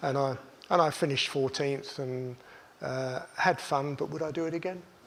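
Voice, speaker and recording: Audible room echo fills this recording of a man at a moderate pace. His pitch is fairly high and his intonation fairly even. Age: 70s. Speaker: racing driver. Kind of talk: talk to an audience. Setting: stage with audience.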